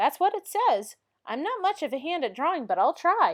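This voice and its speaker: In a put-on character voice, a woman sounds cheerful and squeaky, her extremely high pitch swinging very widely at a moderate pace. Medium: read story. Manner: cheerful, earnest.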